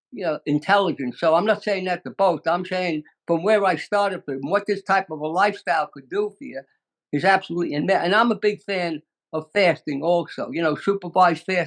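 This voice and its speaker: A man with a Brooklyn accent speaks at a fairly quick pace in a high voice. His pitch varies in an ordinary way, and the sound is dry and close with no echo. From US Northeast, Brooklyn, New York. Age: 90s. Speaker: natural health expert. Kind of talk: interview.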